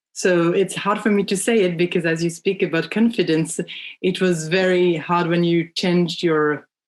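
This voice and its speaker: A woman with a French accent speaks at a fairly low pitch. Her pace is moderate, her intonation fairly even and her loudness very even. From France. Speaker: children's book publisher. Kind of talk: podcast interview. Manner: halting, many fillers.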